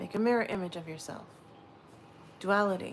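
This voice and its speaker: A soft-spoken woman talks at a medium pitch. Her intonation is lively. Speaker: livestreamer leading sound bowl relaxation. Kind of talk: guided meditation. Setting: livestream.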